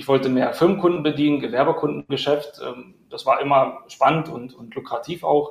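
A man talks in an ordinary speaking voice. His intonation stays fairly even. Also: fairly high pitch for a man, moderate pace. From Berlin. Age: 30s. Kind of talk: live-stream interview.

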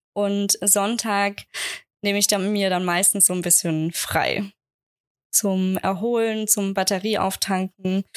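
In a dry, close sound with no echo, a woman speaks at a very slow pace and medium pitch with monotone, flat intonation and very even loudness. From Germany, Aschaffenburg (Lower Franconia). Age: 20s. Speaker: wedding photographer. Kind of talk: interview, casual chat.

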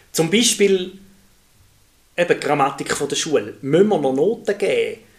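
Noticeable background noise underlies a man speaking at a moderate pace with lively intonation. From Switzerland, Thurgau. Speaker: primary school teacher, podcast co-host. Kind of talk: casual chat.

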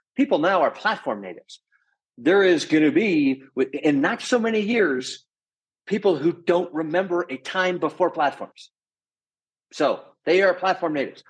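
This man talks loudly in an animated tone, his high-pitched voice rising and falling in a lively way. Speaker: professor of entrepreneurship. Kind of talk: interview conversation. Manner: animated, loud.

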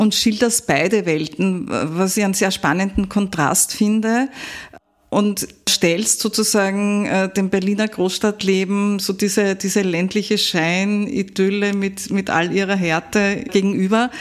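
A woman with an ordinary speaking voice talks fairly slowly at medium pitch, her intonation fairly even and her loudness very even. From Upper Austria. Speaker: podcast host. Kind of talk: interview.

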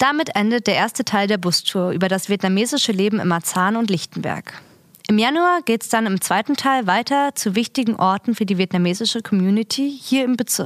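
A plain, everyday voice talks at a fairly quick pace with lively intonation. The loudness stays very even, and the sound is dry and close with no echo. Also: woman, fairly high pitch for a woman. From Berlin. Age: 20s. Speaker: community radio presenter. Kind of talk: scripted narration. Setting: studio.

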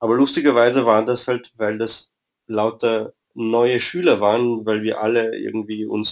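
This man has a plain, everyday voice. He talks at a moderate speed with a medium pitch. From Vienna, Austria. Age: 30s. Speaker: football fan club member. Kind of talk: interview.

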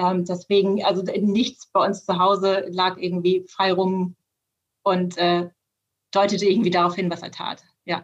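Speaking at a fairly slow pace, a woman holds a medium pitch. Her intonation is monotone and flat. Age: 40s. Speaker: managing director of a family business. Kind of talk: interview.

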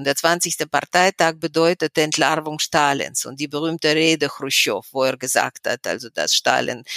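Her pitch is very deep and low, and this woman keeps a moderate pace with fairly even intonation. The sound is dry and close, without echo. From Russia. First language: Russian (speaking German). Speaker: historian and human rights activist. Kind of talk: interview. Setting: remote call from home.

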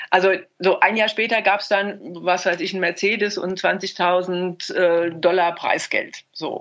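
In a monotone, flat intonation, a woman talks at a fairly slow pace. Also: medium pitch for a woman. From Germany. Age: 70s. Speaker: former marathon runner. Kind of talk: interview. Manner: hesitant with fillers.

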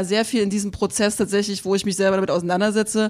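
The speaker talks at a very fast pace with monotone, flat intonation and a slight Saxon accent. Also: woman. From Saxony, eastern Germany. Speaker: journalist. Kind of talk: panel discussion. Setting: stage with audience.

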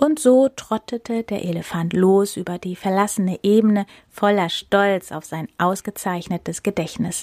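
A woman talks in an ordinary speaking voice at medium pitch and a fairly slow pace, with ordinary pitch variation, big swings in loudness, and a dry, close sound with no echo. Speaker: podcast host reading fairy tales aloud. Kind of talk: bedtime story reading aloud, fairy tale narration. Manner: calm, soothing storyteller pace, gentle with character voices; warm, friendly, chatty toward listeners.

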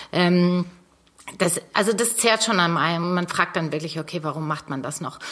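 A normal speaking voice, a woman's, fairly low in pitch, at a moderate pace with ordinary pitch variation. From northern Germany, North Sea coast. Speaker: fashion designer, former copywriter. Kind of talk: interview.

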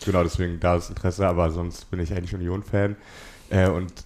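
In a very clean recording with a silent background, a man with a very deep, low pitch talks at a fairly quick pace in a monotone, flat intonation. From Berlin. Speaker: journalist. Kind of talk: casual chat.

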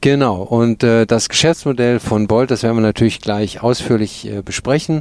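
This is a normal speaking voice at a moderate pace. The pitch moves with ordinary variation. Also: man, medium pitch for a man. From Germany, Cologne. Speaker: podcast host. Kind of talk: interview; scripted narration. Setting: company headquarters office.

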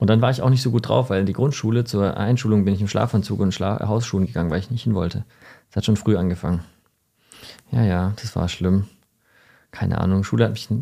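A man speaks at a very fast pace in a dark, mellow tone. Long, frequent pauses break up his speech. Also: fairly low pitch for a man, ordinary pitch variation. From Stuttgart area, Germany. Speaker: entrepreneur and podcast co-host. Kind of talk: casual chat.

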